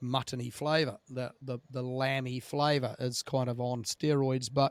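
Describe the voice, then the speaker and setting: A man with a New Zealand accent talks at a fairly slow pace. His intonation is monotone and flat, and the sound is dry and close with no echo. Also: medium pitch for a man. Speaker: podcast host. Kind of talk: casual interview chat.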